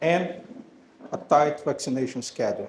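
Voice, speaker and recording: With a Brazilian Portuguese accent, a man speaks at a moderate pace and ordinary pitch variation, and audible room echo surrounds his voice. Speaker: animal health company representative. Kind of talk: presentation to audience.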